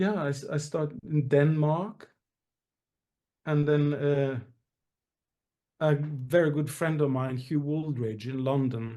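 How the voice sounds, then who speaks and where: With a Norwegian accent, a man speaks very slowly in a dark, mellow tone at a fairly high pitch, leaving long, frequent pauses. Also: ordinary pitch variation. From Norway. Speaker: musical theatre actor and singer. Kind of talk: interview. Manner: halting, many fillers.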